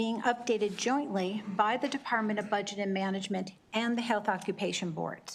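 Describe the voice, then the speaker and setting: A somewhat breathy woman at a moderate pace. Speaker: executive director of a state licensing board. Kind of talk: testimony. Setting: legislative committee hearing. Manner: soft-spoken.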